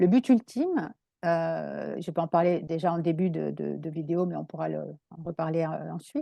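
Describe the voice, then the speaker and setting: The delivery is fairly slow, heard in a dry, close sound with no echo. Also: woman. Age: 60s. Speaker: naturopath. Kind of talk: interview. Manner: halting.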